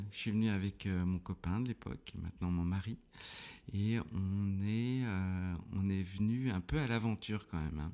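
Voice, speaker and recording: A man's dark, mellow voice of fairly low pitch at a moderate pace. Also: ordinary pitch variation, very clean recording, silent background. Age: 40s. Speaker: theatre trainer and business owner. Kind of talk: casual interview. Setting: podcast recording. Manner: hesitant, many fillers.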